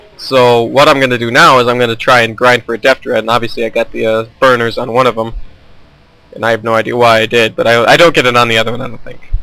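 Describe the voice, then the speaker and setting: This man talks at a very fast pace in a monotone with flat intonation. Noticeable background noise sits behind him. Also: medium pitch for a man. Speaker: gaming commentator. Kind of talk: gameplay commentary. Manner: casual, with filler words.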